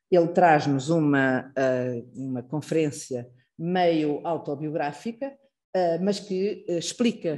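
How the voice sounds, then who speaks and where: A woman's dark, mellow, fairly low voice in a European Portuguese accent, at a very slow pace with lively intonation. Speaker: institute director hosting a lecture. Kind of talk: formal introduction speech. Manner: hesitant, many fillers.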